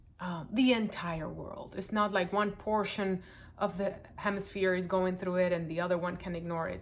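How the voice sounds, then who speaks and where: A woman's monotone, flat delivery in a Spanish accent, with audible room echo. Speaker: project participant sharing reflections. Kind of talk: personal reflection answering questions to camera.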